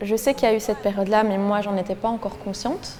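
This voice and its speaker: The speaker is a woman with a medium pitch. Noticeable background noise runs through the recording. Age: 20s. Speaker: law student and young family caregiver. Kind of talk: interview testimony. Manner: hesitant, many fillers.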